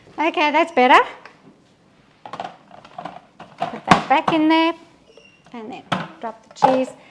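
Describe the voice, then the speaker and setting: Speaking at a very slow pace with long, frequent pauses, a woman with a high pitch and ordinary pitch variation is heard over noticeable background noise. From Belgian Congo and Belgium, Italian parents. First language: French. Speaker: cooking demonstrator. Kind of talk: live cooking demonstration. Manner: casual, with frequent fillers.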